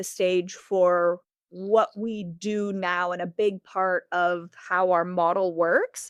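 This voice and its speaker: A woman is heard in a dry, close sound with no echo, on a very clean recording with a silent background. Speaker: founder of a clothing swap business. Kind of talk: interview. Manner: loud; conversational, with many fillers.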